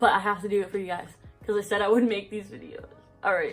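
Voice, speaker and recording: Noticeable background noise is present throughout. Through it comes a woman's voice. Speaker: storytime vlogger. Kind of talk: casual storytelling.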